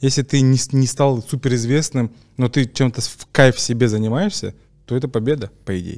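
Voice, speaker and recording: A man uses a plain, everyday voice at a medium pitch with ordinary pitch variation. He keeps a moderate pace against a quiet background. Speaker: podcast host. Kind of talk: casual podcast conversation. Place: studio. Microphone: studio mic.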